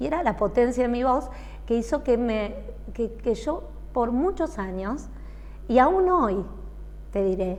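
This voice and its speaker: A woman at a fairly slow pace with long, frequent pauses over noticeable background noise. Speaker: singer. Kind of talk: interview.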